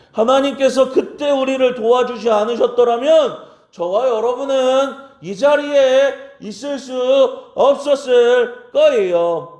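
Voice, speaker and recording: Amid audible room echo, a man speaks at a very slow pace in an extremely high pitch with ordinary pitch variation. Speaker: pastor. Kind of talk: sermon.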